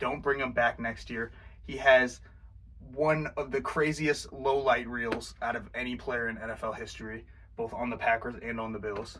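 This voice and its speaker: A man talks at a moderate pace and a medium pitch. His intonation stays fairly even. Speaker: sports podcaster. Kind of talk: casual rant recap.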